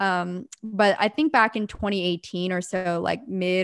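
On a very clean recording with a silent background, a woman has a plain, everyday voice at medium pitch with ordinary pitch variation. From Pennsylvania, US. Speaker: entrepreneur. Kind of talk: interview conversation.

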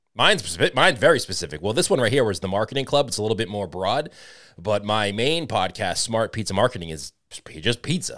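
In a very clean recording with a silent background, a man with a Boston accent speaks at a very fast pace with lively intonation. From Boston, US. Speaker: podcast host. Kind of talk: casual interview chat.

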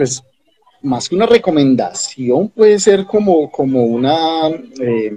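A man at a very slow pace with lively intonation. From Colombia, Ibagué (Tolima). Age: 30s. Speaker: agronomist and company founder. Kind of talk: interview. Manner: halting, many repetitions and fillers.

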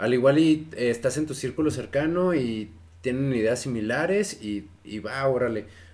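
Speaking with a Mexican accent, a man keeps to a medium pitch. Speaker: podcast co-host. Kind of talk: casual chat.

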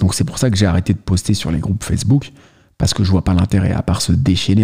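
A somewhat breathy man with a very deep, low pitch. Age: 30s. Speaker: YouTuber, watch enthusiast. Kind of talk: casual vlog monologue. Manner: casual, addresses listener directly.

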